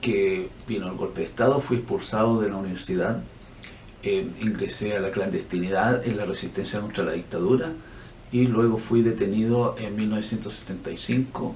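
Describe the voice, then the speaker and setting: Moderate pace with audible room echo. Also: man. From Chile. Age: 60s. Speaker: physician and human rights activist. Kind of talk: interview.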